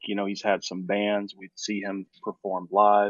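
A man with an American accent speaks in a normal speaking voice at a fairly low pitch. His pace is moderate. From Los Angeles. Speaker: architect. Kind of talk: casual interview.

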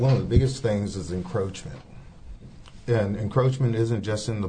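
A man's voice with audible room echo. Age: 50s. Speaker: city council candidate. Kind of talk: interview.

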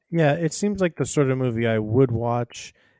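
In a dry, close sound with no echo, a man with an unremarkable speaking voice talks at a moderate pace and medium pitch. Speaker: movie podcast co-host. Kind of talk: casual chat. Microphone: muffled at times.

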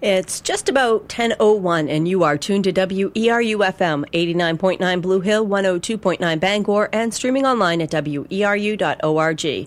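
Words come very slowly while noticeable background noise runs behind them. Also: woman, medium pitch for a woman, ordinary pitch variation, hardly any pauses. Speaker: natural food store owner. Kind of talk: radio interview. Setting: studio.

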